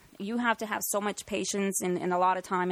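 A woman speaks in a plain, everyday voice at a medium pitch. Her pace is fairly quick and her intonation fairly even. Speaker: paranormal investigation team director. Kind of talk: casual chat.

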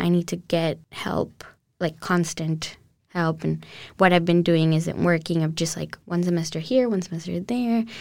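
Woman at a fairly low pitch, monotone and flat in intonation, at a moderate pace in a very clean recording with a silent background. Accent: Spanish. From Colombia (Cali), moved to Houston at 12. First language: Spanish. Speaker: university student. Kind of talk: interview testimony.

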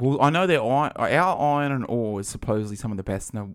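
With an Australian accent, a man speaks at a fairly quick pace and lively intonation. The recording is very clean, with a silent background. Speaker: podcast co-host. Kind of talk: casual chat. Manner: animated.

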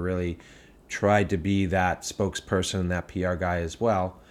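In a Boston accent, a man talks with a very deep, low pitch on a very clean recording with a silent background. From Boston area, US. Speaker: brewery founder. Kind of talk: casual chat.

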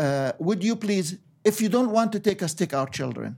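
A man's lively intonation at a moderate pace. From Egypt. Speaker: ministry leader. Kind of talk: interview.

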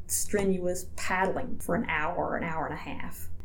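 With an American accent, a woman talks over noticeable background noise. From US South, Georgia. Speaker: statistician and rehabilitation counselor. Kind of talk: interview.

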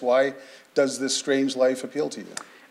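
Noticeable noise sits in the background. A man talks at a fairly quick pace. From Canada (Sarnia, Ontario). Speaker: journalist, interviewer. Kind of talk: onstage interview. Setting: stage with audience.

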